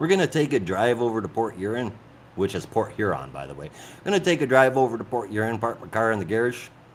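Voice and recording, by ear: In a put-on character voice, a man with a medium pitch and a nasal sound talks at a very fast pace, with very wide pitch swings and big swings in loudness.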